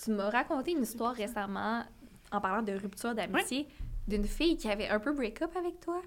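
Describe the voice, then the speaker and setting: Her pitch fairly high and swinging very widely, a woman speaks in a Quebec accent at a fairly quick pace. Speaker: podcast co-host. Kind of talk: casual chat.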